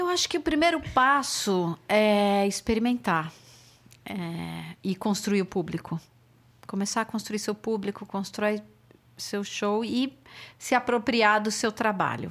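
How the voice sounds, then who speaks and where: Speaking very slowly in a fairly high voice, a woman uses lively intonation on a very clean recording with a silent background. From Brazil, São Paulo. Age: 50s. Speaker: music booker and show producer. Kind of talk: casual chat.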